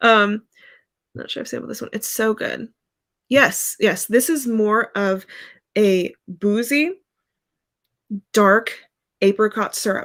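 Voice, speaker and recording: A woman with an American accent speaks at a fairly high pitch and a very slow pace. Long, frequent pauses and big swings in loudness mark her delivery. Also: ordinary pitch variation. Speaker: fragrance reviewer. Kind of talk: casual live stream review. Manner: hesitant, many fillers.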